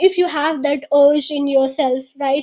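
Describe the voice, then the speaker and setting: In an Indian accent, the speaker keeps a moderate pace and a fairly even intonation. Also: woman. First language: Hindi. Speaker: podcast host. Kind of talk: interview.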